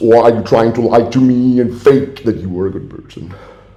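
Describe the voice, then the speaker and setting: Noticeable background noise runs under this recording. A man speaks at a fairly quick pace with a German accent. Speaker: caller. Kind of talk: heated phone complaint. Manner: loud.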